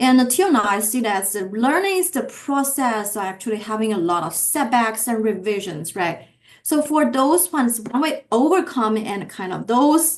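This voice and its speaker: Very wide pitch swings in a woman's fairly high voice, delivered at a moderate pace. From China. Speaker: economics professor. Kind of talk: interview.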